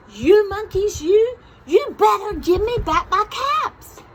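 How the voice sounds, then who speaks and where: Using a put-on character voice, a woman speaks at an extremely high pitch, fairly slowly, with lively intonation. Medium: read story.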